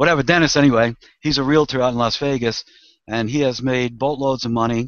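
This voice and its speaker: This man speaks at a fairly quick pace. His pitch sits in the medium range, and his intonation stays fairly even. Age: 60s. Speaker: network marketing distributor. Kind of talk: testimony. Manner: halting.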